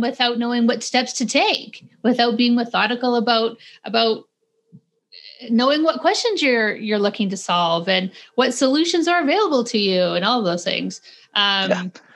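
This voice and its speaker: With a western Canadian accent, a woman speaks at a moderate pace and a high pitch, using lively intonation. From Calgary, western Canada. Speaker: podcast host. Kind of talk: casual interview chat. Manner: animated.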